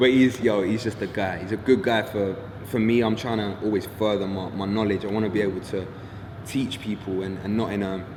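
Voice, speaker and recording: A man speaks fairly quickly at a fairly low pitch, his intonation monotone and flat. Room echo is audible, along with noticeable background noise. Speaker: actor. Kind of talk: casual interview.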